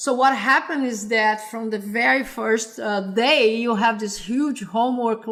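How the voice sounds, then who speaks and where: A woman speaks with a Brazilian Portuguese accent at a moderate pace. Her voice is fairly high-pitched, with ordinary pitch variation. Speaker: computer science professor. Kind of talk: interview. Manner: halting, many repetitions.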